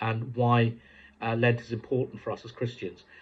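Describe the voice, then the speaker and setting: A somewhat breathy man with an English accent talks at a very fast pace. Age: 60s. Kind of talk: devotional talk. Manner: hesitant, many fillers.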